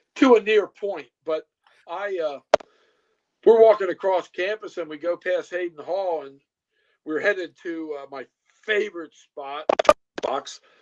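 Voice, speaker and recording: A man with a high pitch speaks at a fairly slow pace with long, frequent pauses and ordinary pitch variation. His loudness swings widely, and the sound is dry and close with no echo. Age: 60s. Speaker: retired police officer. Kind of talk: casual chat. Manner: halting.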